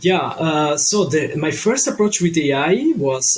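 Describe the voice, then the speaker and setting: There is noticeable background noise. Over it, a man talks with ordinary pitch variation. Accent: Italian. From Italy. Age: 20s. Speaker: digital marketing consultant. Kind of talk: podcast interview. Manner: halting, many fillers.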